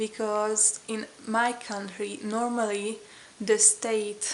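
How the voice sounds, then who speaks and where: With a Hungarian accent, a woman talks at a very slow pace against noticeable background noise. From Hungary. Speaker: vlogger. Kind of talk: casual vlog talk. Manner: hesitant, many fillers.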